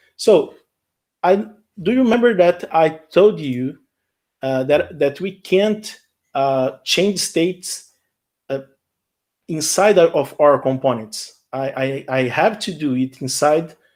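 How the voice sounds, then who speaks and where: With long, frequent pauses and a very slow pace, a man with a Portuguese accent speaks in a fairly high voice with lively intonation, on a very clean recording with a silent background. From Brazil. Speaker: software engineer. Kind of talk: live coding tutorial. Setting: live stream. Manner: halting, with frequent repetitions and fillers.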